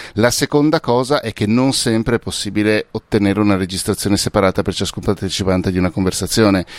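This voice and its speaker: A man talks very fast in a fairly low voice, with hardly any pauses and ordinary pitch variation. The sound is dry and close, with no echo. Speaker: podcast expert and author. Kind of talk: casual chat. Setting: video call. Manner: animated.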